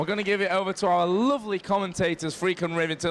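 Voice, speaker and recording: A man talks at a very fast pace in a high voice. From England. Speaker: stage host interviewer. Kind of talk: on-stage interview. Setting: stage at convention event.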